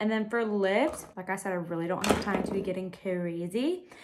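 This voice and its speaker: Medium in pitch and animated in tone, a woman speaks over noticeable background noise. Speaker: beauty vlogger. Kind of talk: get-ready-with-me vlog. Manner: chatty, animated.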